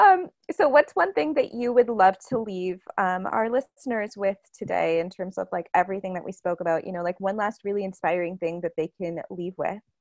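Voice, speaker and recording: A woman with a Canadian accent talks at a fairly quick pace and medium pitch with ordinary pitch variation, in a dry, close sound with no echo. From Toronto, Canada. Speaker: podcast host. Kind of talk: interview. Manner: animated.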